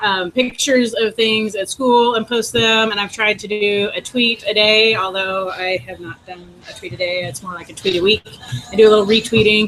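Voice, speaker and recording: Over background music, a woman with a fairly high pitch speaks at a moderate pace with fairly even intonation. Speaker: educator presenting to teachers. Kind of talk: short presentation in group video call.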